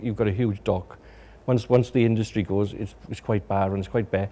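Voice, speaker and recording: With a South Wales accent, a man talks at a moderate pace in a fairly low pitch, his dark, mellow tone carrying fairly even intonation. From Wales, Swansea. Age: 50s. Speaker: local resident recalling industrial history. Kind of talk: documentary interview, reminiscence. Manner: hesitant, with many repetitions and fillers.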